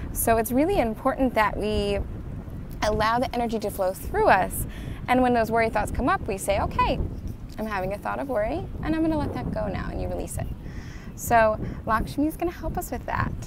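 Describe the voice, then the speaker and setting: A woman talks at a fairly quick pace. The sound is dry with no echo, though background noise is noticeable. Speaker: card reader vlogger. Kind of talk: casual vlog chat. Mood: cheerful, warm. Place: beach. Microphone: earbuds.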